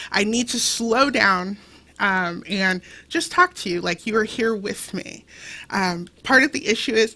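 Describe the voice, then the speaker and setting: The voice has a bright, sharp tone that comes across as animated. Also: woman. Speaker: gala auction host. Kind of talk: live fundraising auction calling.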